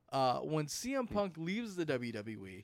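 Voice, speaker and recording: A man speaks here. His tone is animated. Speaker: wrestling commentator and streamer. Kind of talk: casual chat. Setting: live stream. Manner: animated, excitable, loud.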